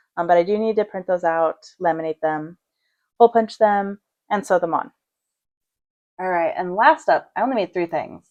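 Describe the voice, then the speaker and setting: Against a quiet background, a woman speaks at a moderate pace with a medium-pitched voice, ordinary pitch variation, long, frequent pauses, and a dry, close sound with no echo. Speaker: crochet youtuber and small business maker. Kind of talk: casual vlog chat. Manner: loud. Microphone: mic close to speaker.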